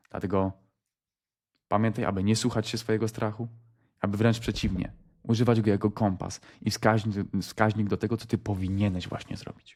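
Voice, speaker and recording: A man at a fairly low pitch, fairly quick pace, long, frequent pauses. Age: 20s. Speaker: motivational vlogger. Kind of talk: motivational monologue. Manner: animated.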